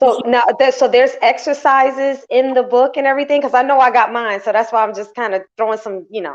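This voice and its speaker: Loud and fairly quick, a woman speaks in a high pitch with fairly even intonation and hardly any pauses. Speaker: talk show host. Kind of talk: live interview chat.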